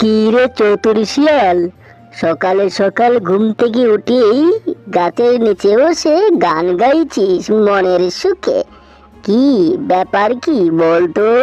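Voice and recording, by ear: A cartoonish character voice speaks at a fairly high pitch and a very slow pace. Faint music plays in the background.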